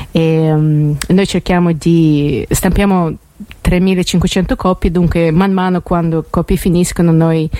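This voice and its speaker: A woman speaks with a non-native accent in a fairly low pitch, her intonation fairly even. Noticeable background noise runs under her voice. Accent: foreign accent in Italian. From Russia, then US from age 11. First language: Russian (speaking Italian). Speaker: magazine editor. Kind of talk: radio interview. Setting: radio studio. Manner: halting.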